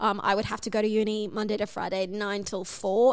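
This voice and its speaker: Over noticeable background noise, a woman with an Australian accent speaks at a fairly quick pace in a medium-pitched, monotone voice with flat intonation. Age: 20s. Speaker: podcast guest sharing dating story. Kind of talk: casual chat.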